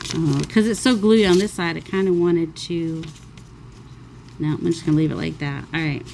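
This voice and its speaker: A woman talks at a moderate pace with a fairly low pitch and ordinary pitch variation. Her speech has long, frequent pauses. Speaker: crafting YouTuber. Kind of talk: crafting tutorial. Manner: casual, rambling.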